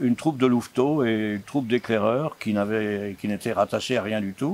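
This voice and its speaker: The background noise is noticeable. Over it, a man talks with ordinary pitch variation. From France, Paris then Alsace. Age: 80s+. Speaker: scout movement founder. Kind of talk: interview. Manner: hesitant with fillers.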